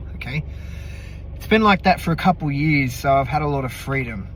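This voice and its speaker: A man with an Australian accent, audible room echo, and noticeable background noise. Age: 30s. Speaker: business founder. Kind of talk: casual self-introduction monologue. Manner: hesitant, many fillers.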